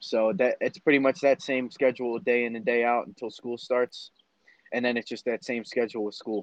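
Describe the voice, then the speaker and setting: Captured with a dry, close sound and no echo, a man with a plain, everyday voice talks at a fairly quick pace, his medium pitch showing ordinary variation. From Lower Merion, Pennsylvania, US. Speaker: college wrestler and amateur MMA fighter. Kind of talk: interview.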